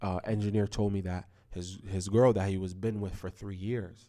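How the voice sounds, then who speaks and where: In a very clean recording with a silent background, a man speaks at a moderate pace. His tone is dark and mellow, his pitch fairly low and his intonation fairly even. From Toronto, west end. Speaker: podcast co-host, musician. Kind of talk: casual chat.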